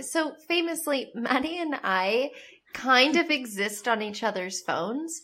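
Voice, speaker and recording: A woman's raised, projected voice, high in pitch and bright and sharp in tone, at a fairly slow pace with very wide pitch swings. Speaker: podcast co-host. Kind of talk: casual chat.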